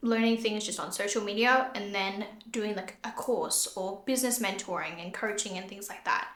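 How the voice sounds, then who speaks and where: A woman speaks at a fairly high pitch with an Australian accent, her voice carrying an audible room echo. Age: 20s. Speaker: podcast host and beauty business owner. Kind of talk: casual solo podcast talk. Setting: empty room.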